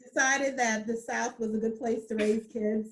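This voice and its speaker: A woman with an American accent and an unremarkable speaking voice, fairly high in pitch, fairly even in intonation, at a moderate pace. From New Jersey and Georgia, US. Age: 40s. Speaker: accountant and business owner. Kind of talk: interview.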